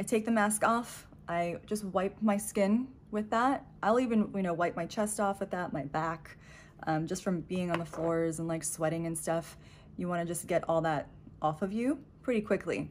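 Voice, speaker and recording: A woman's moderate pace and ordinary pitch variation come through over light background noise. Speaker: beauty vlogger. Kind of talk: casual vlog chat. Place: home room. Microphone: phone near.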